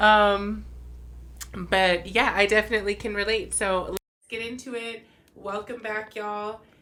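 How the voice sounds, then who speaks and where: At medium pitch, a woman speaks in a bright, sharp tone at a fairly slow pace, with monotone, flat intonation, big swings in loudness, and long, frequent pauses. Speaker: podcast co-host. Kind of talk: casual chat.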